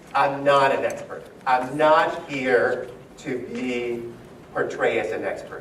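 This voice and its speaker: A man talks at a very slow pace. Noticeable background noise and audible room echo are present. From Dominican Republic. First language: Spanish. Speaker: education speaker, former teacher. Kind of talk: keynote talk to educators. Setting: conference hall with live audience, lavalier mic. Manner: animated, uses hands, moves around.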